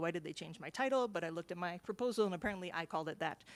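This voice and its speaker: A woman speaks with an American accent at a fairly low pitch. The recording is very clean with a silent background. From US East. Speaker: historian, PhD candidate. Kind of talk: conference presentation. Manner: fast.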